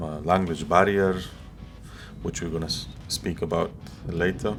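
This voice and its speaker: A man's very deep, low voice with a non-native accent, fairly even intonation and a moderate pace, music in the background. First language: not English. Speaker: paraglider pilot. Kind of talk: vlog narration. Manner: hesitant with fillers.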